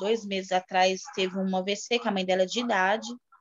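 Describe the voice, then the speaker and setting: A woman is speaking. Her pace is moderate. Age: 30s. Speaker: preschool worker. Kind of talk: interview about grief. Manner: halting.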